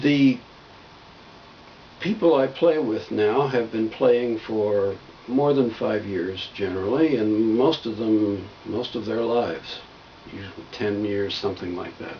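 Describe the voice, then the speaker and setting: Noticeable background noise sits behind a man speaking at a fairly slow pace with medium pitch and ordinary pitch variation. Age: 60s. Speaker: video blogger on health and healing. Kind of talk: casual monologue. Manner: conversational.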